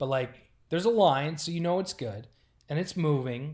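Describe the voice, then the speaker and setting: Speaking with an American accent, a man uses lively intonation at a moderate pace in a very clean recording with a silent background. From Rochester, New York, later Oklahoma City. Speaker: hockey team content manager. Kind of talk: casual chat.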